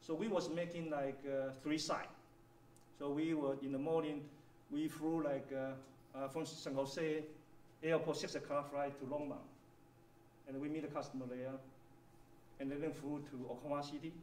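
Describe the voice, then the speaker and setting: A man with a Chinese accent, fairly high-pitched, at a moderate pace with long, frequent pauses and monotone, flat intonation, plus audible room echo and noticeable background noise. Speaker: engineering executive. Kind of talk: workshop presentation.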